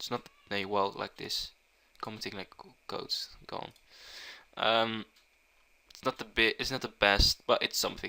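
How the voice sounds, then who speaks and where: Speaking with a Dutch accent, a man leaves long, frequent pauses and shows big swings in loudness. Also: moderate pace. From Netherlands. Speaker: programming tutor. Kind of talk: tutorial. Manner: halting.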